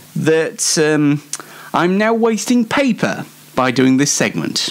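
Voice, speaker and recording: A man at a very slow pace, with very wide pitch swings and noticeable background noise. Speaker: online show host. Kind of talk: casual solo show monologue. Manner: halting, many fillers.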